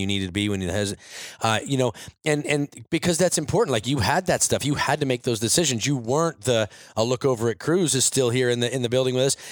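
A man talks at a fairly quick pace in an ordinary speaking voice, his pitch medium and its variation ordinary. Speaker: podcast co-owner and interviewer. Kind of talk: casual interview chat. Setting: studio office, in person.

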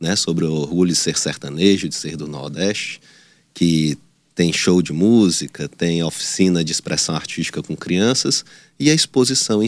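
At a moderate pace, a man speaks with a very deep, low pitch. His pitch variation is ordinary. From Teresina, Piauí, northeastern Brazil. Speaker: political candidate. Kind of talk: news interview.

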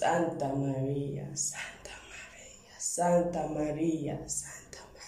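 A woman speaks very slowly in a very deep, low voice with monotone, flat intonation. There is noticeable background noise. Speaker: poet and translator guest. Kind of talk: personal intro, then bilingual poem reading. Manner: intimate, reflective, reverent reading.

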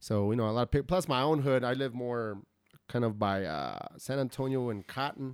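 In an American accent, a man with a plain, everyday voice speaks at medium pitch and moderate pace with ordinary pitch variation. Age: 30s. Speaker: podcast host. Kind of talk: casual chat. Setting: home studio.

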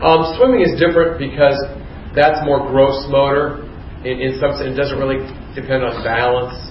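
A man with an American accent, fairly high in pitch, at a moderate pace with fairly even intonation, plus noticeable background noise and audible room echo. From US Midwest (Youngstown, Ohio). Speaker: nursing instructor. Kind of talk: lecture.

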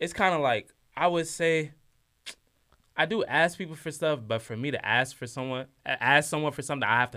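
A man's fairly high, bright, sharp voice with an American accent at a fairly quick pace, in a very clean recording with a silent background. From Washington DC, Nigerian family. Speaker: college student. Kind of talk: casual chat.

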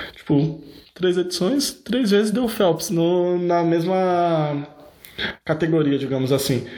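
Amid audible room echo, a man's high-pitched voice has a dark, mellow tone, ordinary pitch variation and a moderate pace. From Brazil, São Paulo (Osasco). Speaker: podcast host. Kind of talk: casual chat.

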